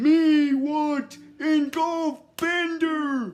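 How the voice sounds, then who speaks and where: A put-on character voice pitched high. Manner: menacing.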